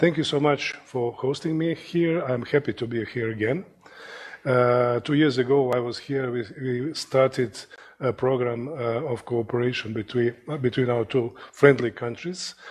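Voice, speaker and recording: A man's medium-pitched voice with a Croatian accent, fairly even intonation, and moderate pace, over noticeable background noise. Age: 60s. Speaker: surgeon and professor. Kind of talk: lecture. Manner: halting, many fillers.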